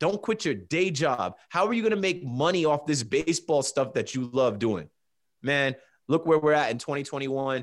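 A man with an American accent and an unremarkable speaking voice talks at a moderate pace in a fairly high register with lively intonation, on a very clean recording with a silent background. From New Jersey Shore. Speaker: sports podcaster. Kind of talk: casual interview.

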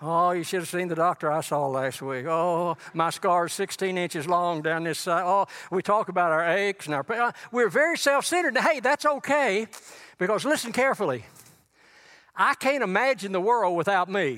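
A man's high voice with a Texan accent, lively intonation and a moderate pace. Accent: Texan Southern US. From East Texas. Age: 80s+. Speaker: guest preacher. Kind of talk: sermon. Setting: church.

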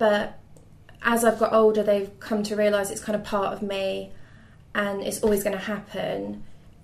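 Her voice sits at a medium pitch, with monotone, flat intonation. The room has an audible echo. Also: moderate pace. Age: 20s. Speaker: mental health patient sharing experience. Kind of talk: interview. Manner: hesitant.

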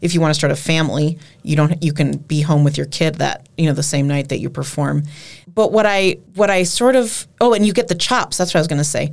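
Talking at a fairly quick pace, a woman with an American accent has a very deep, low pitch, vocal fry and lively intonation. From Minnesota, Twin Cities. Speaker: singer-songwriter. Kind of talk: interview.

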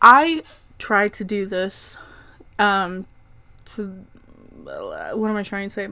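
Over a silent background in a very clean recording, a woman speaks with an American accent and a bright, sharp tone. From Oklahoma. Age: 20s. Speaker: podcast host. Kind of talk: casual chat. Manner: animated.

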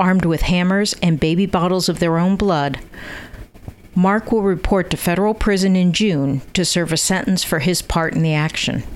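With an American accent, a woman talks at a moderate pace and fairly low pitch, her pitch varying in an ordinary way over noticeable background noise. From US Northeast (Connecticut). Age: old. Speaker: podcast host. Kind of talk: interview.

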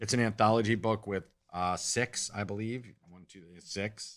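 On a very clean recording with a silent background, an ordinary speaking voice keeps a moderate pace and fairly even intonation. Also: man. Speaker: podcast co-host. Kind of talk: casual banter podcast.

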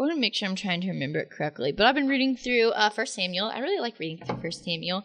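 A woman speaks very fast at a medium pitch, her pitch swinging very widely. Noticeable background noise runs underneath. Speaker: podcast host, college student. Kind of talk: casual chat.

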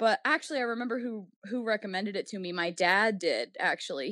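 Using an unremarkable speaking voice, a woman talks at a fairly quick pace. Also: very clean recording, silent background. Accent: American. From New Orleans, US Deep South. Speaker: poet. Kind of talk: casual interview.

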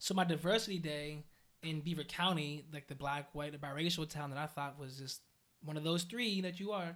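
Speaking at a fairly quick pace, a man with an American accent has an ordinary speaking voice pitched fairly high. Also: ordinary pitch variation. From western Pennsylvania (Aliquippa, near Pittsburgh). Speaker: youth worker and DJ. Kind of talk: casual interview.

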